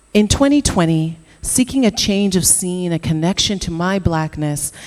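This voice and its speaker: With a Canadian accent and lively intonation, a woman speaks over noticeable background noise. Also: fairly low pitch for a woman, moderate pace. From Canada. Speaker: entrepreneur. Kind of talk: conference talk.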